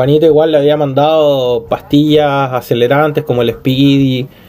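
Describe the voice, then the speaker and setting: A man with a Chilean accent and a fairly high pitch speaks at a fairly slow pace. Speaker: podcast co-host. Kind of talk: casual chat.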